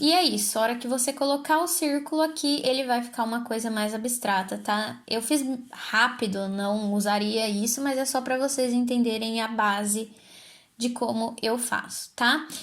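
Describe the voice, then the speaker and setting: A woman speaks at a high pitch with ordinary pitch variation and a moderate pace. Audible room echo surrounds her voice. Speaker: design tutorial creator. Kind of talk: tutorial. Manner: casual.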